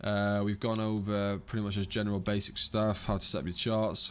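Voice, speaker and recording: In a very clean recording with a silent background, a man talks at a fairly low pitch. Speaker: trading educator. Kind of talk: tutorial. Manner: fast; casual, unscripted.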